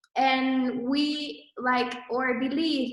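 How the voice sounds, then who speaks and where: The woman's voice is pitched high. Her words carry audible room echo. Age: 20s. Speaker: entrepreneur, clothing brand co-founder. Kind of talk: presentation to online audience. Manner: hesitant, many fillers.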